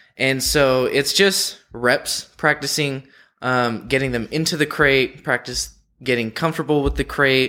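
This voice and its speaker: A man with a Californian accent speaks at a medium pitch and a fairly slow pace, his tone bright and sharp and his intonation fairly even. The recording is very clean with a silent background. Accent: Californian American. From San Diego. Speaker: zoo student keeper. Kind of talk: interview.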